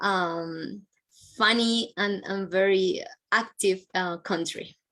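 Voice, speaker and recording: Medium pitch from a woman with a Colombian accent. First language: Spanish. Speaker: university international advisor. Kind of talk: presentation.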